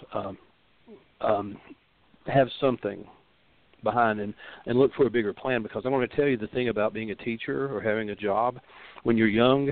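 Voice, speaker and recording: A fairly quick pace with ordinary pitch variation. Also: man. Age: 60s. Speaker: rootworker and reader. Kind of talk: call-in advice show. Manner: halting, many fillers.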